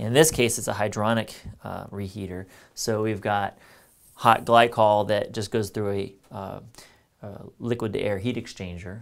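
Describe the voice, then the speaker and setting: Against a quiet background, a man with a fairly low pitch talks at a moderate pace in an ordinary speaking voice, with fairly even intonation. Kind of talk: tutorial. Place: workshop. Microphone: lapel.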